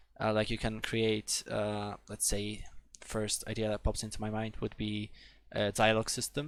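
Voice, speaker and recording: A man's fairly low voice at a moderate pace, with a Polish accent. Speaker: programming tutor. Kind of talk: live webinar tutorial. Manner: halting, many fillers.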